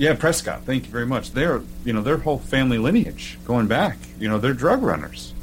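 With an American accent, a man speaks while music plays behind him. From Oklahoma. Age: 30s. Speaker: podcast host, military veteran. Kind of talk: casual interview. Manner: halting, many fillers.

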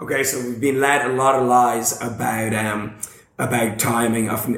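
A man with a medium-pitched voice talks at a moderate pace, with audible room echo and noticeable background noise. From Ireland. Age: 30s. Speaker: fitness YouTuber. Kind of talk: casual chat. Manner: loud; animated.

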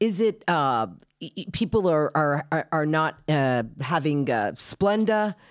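Very deep and low in pitch, a woman's voice swings very widely in pitch at a fairly slow pace on a very clean recording with a silent background. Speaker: comedian and producer. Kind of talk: casual chat.

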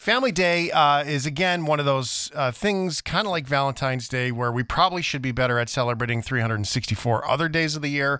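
Speaking with a Canadian accent, a man uses a bright, sharp tone at a fairly high pitch, with ordinary pitch variation and a fairly quick pace. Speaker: podcast host. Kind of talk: casual interview chat. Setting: video call. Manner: animated.

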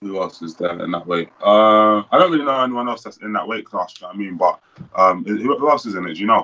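In a British accent, a man talks at a fairly quick pace with a fairly low pitch and ordinary pitch variation. His tone is bright and sharp, and his loudness swings a lot. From United Kingdom. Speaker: professional boxer. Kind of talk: casual interview.

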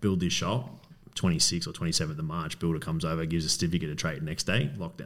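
Talking at a very fast pace, a man with an Australian accent uses a very deep, low pitch and ordinary pitch variation. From Melbourne, Australia (Coburg). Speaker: business owner. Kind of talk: casual interview.

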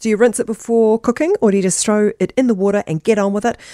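A woman with a New Zealand accent and a fairly high pitch talks at a fairly quick pace in a dry, close sound with no echo. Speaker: radio host. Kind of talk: radio interview chat. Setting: radio studio.

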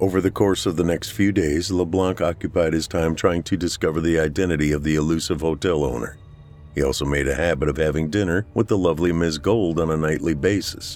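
With music in the background, a man with an American accent talks at a fairly quick pace. His very deep, low voice keeps a very even loudness and fairly even intonation. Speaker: horror fiction narrator. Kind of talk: scripted horror fiction narration, read aloud. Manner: measured, suspenseful, dramatic storytelling pace; theatrical, relishing words like 'titillate'.

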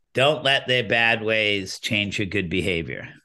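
A man in a put-on character voice, fairly low in pitch for a man, at a fairly slow pace. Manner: wise, gentle.

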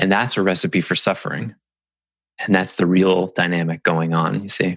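A man with a very deep, low pitch talks in fairly even intonation at a moderate pace. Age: 40s. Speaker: podcast host and business coach. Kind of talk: solo podcast monologue.

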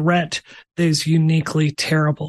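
A woman's fairly low, somewhat breathy voice comes across dry and close with no echo, over a quiet background. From Mississippi. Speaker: game developer. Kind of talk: casual chat.

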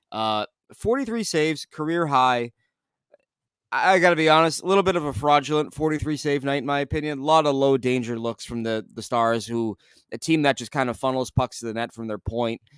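In a dry, close sound with no echo, a man with an unremarkable speaking voice talks fairly quickly at a fairly high pitch with ordinary pitch variation. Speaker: sports radio reporter, guest. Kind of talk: casual sports podcast chat.

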